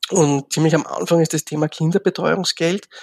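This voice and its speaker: A man's high-pitched voice with fairly even intonation and a dry, close sound with no echo. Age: 50s. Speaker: social work professor. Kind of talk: interview. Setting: remote recording. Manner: halting.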